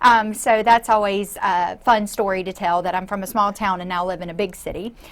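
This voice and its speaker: An American woman talks at a fairly quick pace and a medium pitch, with fairly even intonation. Her loudness swings widely. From US South, north Florida (Perry). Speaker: nonprofit executive director. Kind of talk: interview. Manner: hesitant with many fillers.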